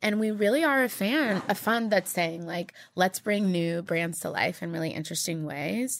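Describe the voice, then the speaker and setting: In a very clean recording with a silent background, a woman with an unremarkable speaking voice talks at a moderate pace, medium in pitch, with lively intonation and hardly any pauses. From Texas. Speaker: digital marketing executive and entrepreneur. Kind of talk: interview.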